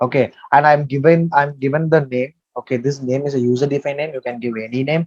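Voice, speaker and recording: A man's medium-pitched voice, fairly quick and fairly even in intonation, with a dry, close sound and no echo. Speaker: software trainer. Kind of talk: tutorial. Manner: halting.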